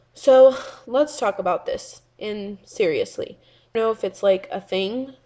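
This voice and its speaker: A woman speaks softly at a fairly slow pace. The recording is very clean, with a silent background. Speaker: beauty vlogger. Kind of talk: casual vlog rant. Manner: soft-spoken.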